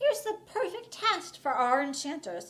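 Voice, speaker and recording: A woman does a put-on, squeaky character voice at an extremely high pitch, swinging very widely in pitch at a moderate pace. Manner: sinister, teacher-like, smiling.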